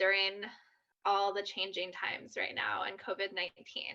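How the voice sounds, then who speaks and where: A woman talks. Her tone is bright and sharp against a quiet background. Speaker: social media trainer. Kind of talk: online workshop presentation. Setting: video call from home. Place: home room. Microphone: webcam.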